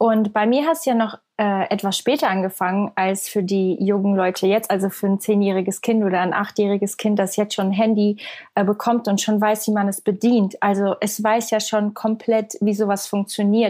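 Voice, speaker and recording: With hardly any pauses, a woman speaks at medium pitch and a moderate pace, her dark, mellow tone delivered with very even loudness and fairly even intonation. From Switzerland. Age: 20s. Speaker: singer and content creator. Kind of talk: interview conversation.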